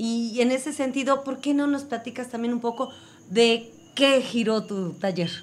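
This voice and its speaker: This woman's voice is high, its pitch varying in an ordinary way. She talks at a fairly slow pace. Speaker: community radio co-host. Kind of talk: radio magazine conversation.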